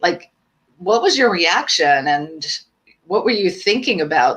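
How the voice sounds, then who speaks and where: A woman speaks at a moderate pace with a medium pitch. She has an unremarkable speaking voice. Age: 60s. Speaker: podcast host. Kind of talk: live podcast interview. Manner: upbeat.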